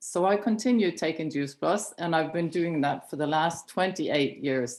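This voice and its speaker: A woman with a Norwegian accent and ordinary pitch variation, in a very clean recording with a silent background. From Norway. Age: 60s. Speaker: chiropractor and network marketing director. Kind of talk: personal testimony on a training call. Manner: slower, non-native pace.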